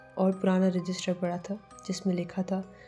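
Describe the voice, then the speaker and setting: Over music in the background, a woman speaks in a dramatic tone at a medium pitch. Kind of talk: horror story narration. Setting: studio voice-over with background music. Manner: suspenseful, dramatic.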